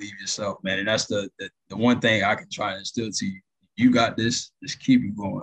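A plain, everyday voice talks at a moderate pace with ordinary pitch variation. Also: man. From Florida (Tampa). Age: 20s. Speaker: network technician. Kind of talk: interview.

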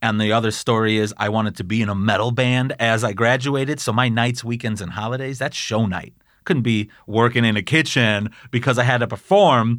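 An ordinary speaking voice: a man talks at a fairly quick pace with medium pitch and fairly even intonation. The recording is very clean, with a silent background. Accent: American. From Chicago area, US Midwest. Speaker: chef. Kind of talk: interview, casual chat.

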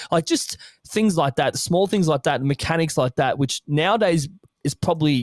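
With an Australian accent, a man talks at a moderate pace in a dry, close sound with no echo. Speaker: podcast co-host. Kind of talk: casual chat.

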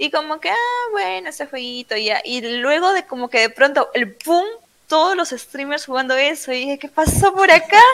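A woman's high voice swings very widely in pitch while she keeps to a moderate pace. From Peru, Trujillo. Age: 20s. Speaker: streamer. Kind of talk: interview.

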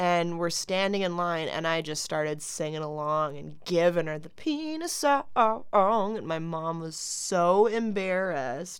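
A woman talks at a fairly slow pace in an ordinary speaking voice, pitched fairly low with ordinary pitch variation and hardly any pauses. Her loudness swings a lot, and the recording is very clean with a silent background. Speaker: podcast co-host. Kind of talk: casual chat.

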